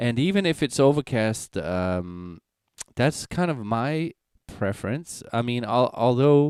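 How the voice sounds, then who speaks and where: Speaking very slowly with a Danish accent, a man uses a medium pitch and very wide pitch swings, recorded with a dry, close sound and no echo. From Denmark, rural Jutland. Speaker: singer-songwriter. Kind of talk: casual live-stream chat. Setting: live stream. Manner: halting, many fillers.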